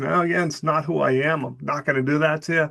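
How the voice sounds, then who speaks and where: A man speaks in a plain, everyday voice, fairly high in pitch. His pace is fairly quick, with ordinary pitch variation. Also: quiet background. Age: 60s. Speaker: college professor. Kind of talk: recorded class announcement. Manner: casual, conversational.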